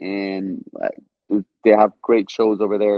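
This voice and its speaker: A man with an Israeli accent speaks at a very slow pace. His fairly low voice has monotone, flat intonation. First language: Hebrew. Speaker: stand-up comedian. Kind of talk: interview. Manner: halting, many repeated words.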